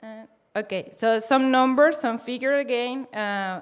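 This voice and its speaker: A woman speaks at a fairly slow pace in a high voice. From Venezuela and Spain. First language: Spanish. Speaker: open source program manager. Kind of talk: conference talk. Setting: stage with audience. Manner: halting.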